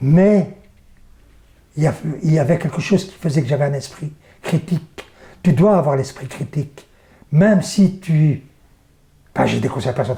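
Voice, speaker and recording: Somewhat breathy and dark, mellow in tone, a man's fairly high voice moves at a moderate pace with ordinary pitch variation and long, frequent pauses. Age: 60s. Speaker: theatre and circus performer. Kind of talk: interview. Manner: halting, many repetitions.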